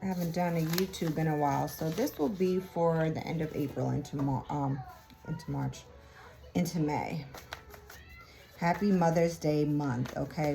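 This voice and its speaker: Music plays in the background as the speaker talks at a moderate pace with fairly even intonation. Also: woman. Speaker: tarot reader. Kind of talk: tarot reading. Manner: casual.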